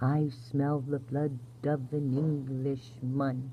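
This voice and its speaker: Clear background noise sits behind a woman using a put-on character voice. Her pitch is very deep and low, and her pace is very slow. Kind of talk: sleep story. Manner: soft-spoken, gentle.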